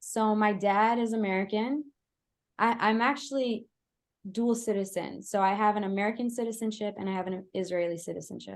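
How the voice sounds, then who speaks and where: Delivered at a moderate pace with fairly even intonation, the voice sits over a quiet background. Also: woman. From Israel. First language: Hebrew. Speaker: Hebrew teacher. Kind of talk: online class wrap-up.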